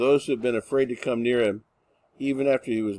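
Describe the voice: This is plain reading aloud with fairly even intonation over a quiet background.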